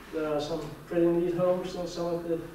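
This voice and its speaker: A man speaks at a high pitch with a Danish accent. Both noticeable background noise and audible room echo are present. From Denmark. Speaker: conference speaker on Mars anomalies. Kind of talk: lecture. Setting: conference hall with audience. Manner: halting, with repeated words.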